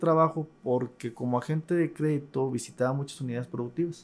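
In a dark, mellow tone, this man keeps to a fairly quick pace. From Tabasco, Mexico. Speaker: university administrator, agricultural economist. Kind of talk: interview.

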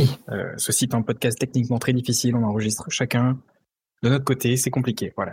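Speaking at a fairly quick pace, a man with a medium-pitched, somewhat breathy voice holds a monotone, flat intonation. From southeastern France, Alpes-de-Haute-Provence. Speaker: podcast co-host. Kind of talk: casual chat. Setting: remote recording, each on own side.

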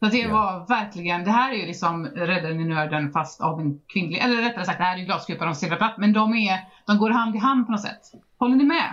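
Her pace is fairly quick, with hardly any pauses. This woman has a medium pitch and lively intonation. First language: not English (Swedish podcast) (speaking Swedish). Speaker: book podcast host. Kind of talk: casual chat.

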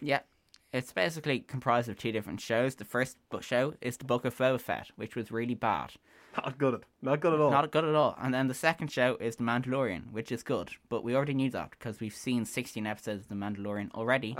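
In an Irish accent, a man talks at a fairly quick pace. His pitch is medium, with ordinary variation. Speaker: student radio show co-host. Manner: sarcastic-sounding delivery.

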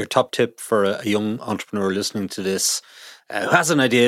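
Recorded with a dry, close sound and no echo, a man with an Irish accent speaks at a fairly low pitch with fairly even intonation. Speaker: business journalist podcast host. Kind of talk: interview; scripted narration.

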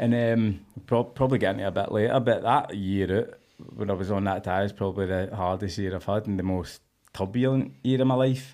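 A man with a west of Scotland accent talks at a fairly quick pace. His pitch is fairly low, with ordinary pitch variation. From Scotland, Cumbernauld. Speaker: former prisoner. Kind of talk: casual chat.

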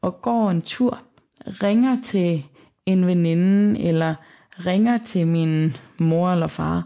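A woman's fairly low, dark, mellow voice at a very slow pace, with ordinary pitch variation, very even loudness and long, frequent pauses. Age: 20s. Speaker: visually impaired young woman sharing her story. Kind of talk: personal testimony. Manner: halting.

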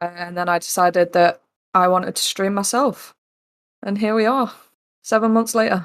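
The speaker talks with an East Midlands accent and fairly even intonation. There are long, frequent pauses. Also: woman, medium pitch for a woman, moderate pace. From East Midlands, England. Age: 20s. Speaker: streamer and soldier. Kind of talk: casual interview.

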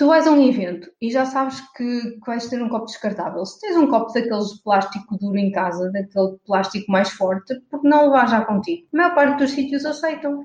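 A woman with a plain, everyday voice speaks at a moderate pace and a fairly high pitch. Her intonation is lively, with hardly any pauses. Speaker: environmental activist and blogger. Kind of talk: interview conversation.

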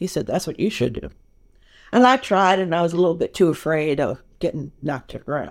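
A woman with an American accent speaks at a fairly quick pace in an ordinary speaking voice. Her pitch is fairly low and her intonation lively. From New York. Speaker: film editor. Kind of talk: interview conversation.

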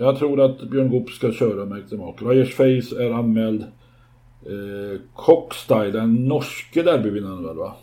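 In a dark, mellow tone, a man talks at medium pitch and a fairly slow pace, with ordinary pitch variation and big swings in loudness. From rural Sweden. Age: 60s. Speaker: podcast co-host, horse owner. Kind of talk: casual chat.

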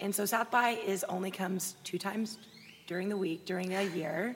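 A woman with an American accent at a moderate pace, her intonation fairly even, with noticeable background noise. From Austin, Texas. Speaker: fitness blogger and personal trainer. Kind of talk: casual interview chat. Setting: live recording at festival.

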